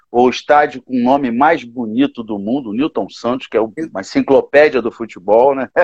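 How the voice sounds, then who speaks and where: A man's medium-pitched voice, an ordinary speaking voice, at a fairly quick pace with hardly any pauses and fairly even intonation, in a dry, close sound with no echo. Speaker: gospel musician. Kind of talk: casual chat.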